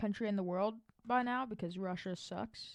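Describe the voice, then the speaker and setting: Using an ordinary speaking voice, a woman talks at a medium pitch and moderate speed, her pitch shifting in an ordinary way. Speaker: YouTuber narrating alternate history map scenario. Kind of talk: casual commentary over map video. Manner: casual, filler-heavy.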